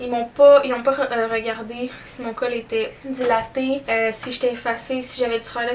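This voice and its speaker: A woman speaks in a high voice with a Quebec accent, her intonation flat and monotone, over noticeable background noise. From Sept-Îles, Côte-Nord, Quebec. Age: 20s. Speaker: esthetician and esthetics teacher. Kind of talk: casual talk to camera.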